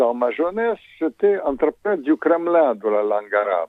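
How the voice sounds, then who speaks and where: A man speaks with a Russian accent. His pitch is fairly high. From Soviet Union, Ukrainian origin. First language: Russian (speaking French). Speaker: former diplomat and author. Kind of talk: radio interview. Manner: hesitant, many fillers.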